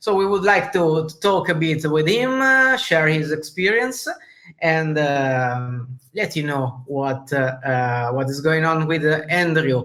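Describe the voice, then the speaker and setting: A man with an Italian accent speaks fairly slowly in a fairly high pitch, his intonation lively. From Italy. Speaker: podcast host. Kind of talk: interview. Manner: halting.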